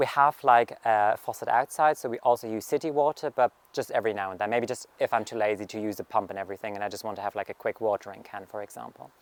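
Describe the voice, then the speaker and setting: Very fast speech with a German accent, big swings in loudness, hardly any pauses and a dry, close sound with no echo. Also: man, medium pitch for a man, ordinary pitch variation. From Germany, rural farming community. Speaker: gardening vlogger. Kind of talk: garden tour vlog. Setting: outdoors in garden. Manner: casual, filler-heavy.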